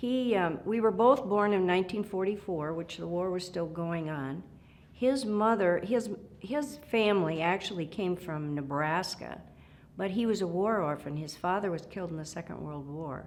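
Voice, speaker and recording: A woman speaks at a moderate pace with lively intonation. Her pitch is medium, and she has an Upper Midwest accent. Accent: Upper Midwest American. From South Dakota, Gregory County farm. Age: 70s. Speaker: retired supreme court justice. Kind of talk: oral history interview. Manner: halting, many fillers.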